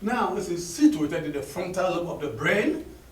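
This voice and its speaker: Amid noticeable background noise and audible room echo, a man with an African accent speaks at a moderate pace in a high pitch with very wide pitch swings. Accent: African accent, kept. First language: Akan. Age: 60s. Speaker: professor of linguistics. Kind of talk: conference address. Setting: conference hall with audience.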